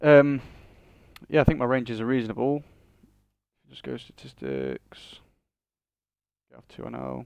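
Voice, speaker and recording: A man with a northern English accent speaks with big swings in loudness and long, frequent pauses. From northern England. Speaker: online poker player. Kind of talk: live commentary of own poker play. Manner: fast.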